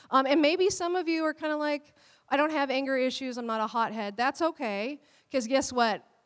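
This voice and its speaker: On a very clean recording with a silent background, a woman speaks loudly and fairly quickly at a high pitch with ordinary pitch variation. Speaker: pastor. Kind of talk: sermon. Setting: church. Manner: animated.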